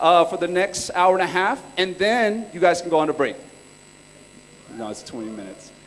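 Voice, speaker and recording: A man with an American accent, lively intonation and a moderate pace, over noticeable background noise. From California. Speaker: entrepreneur and workshop speaker. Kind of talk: conference talk. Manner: casual, joking.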